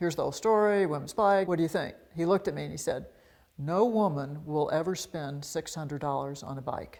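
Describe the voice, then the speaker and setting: A plain, everyday voice from a woman with an American accent, fairly low in pitch, fairly quick, with ordinary pitch variation. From US South, Montgomery, Alabama. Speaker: bicycle designer and company founder. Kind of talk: personal profile interview.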